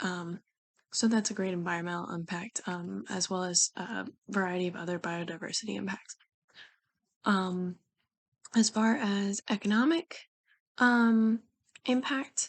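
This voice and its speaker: A quiet woman at a medium pitch and fairly slow pace, with ordinary pitch variation and long, frequent pauses. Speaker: student. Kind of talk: class discussion video. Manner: hesitant, many fillers.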